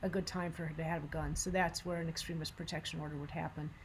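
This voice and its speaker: The speaker is a woman. She sounds somewhat breathy. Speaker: gun violence prevention advocate. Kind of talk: presentation. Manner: fast.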